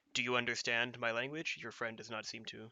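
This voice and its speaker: The speaker uses a put-on character voice. The pace is fairly quick. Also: man, medium pitch for a man. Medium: actual play. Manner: hesitant, halting.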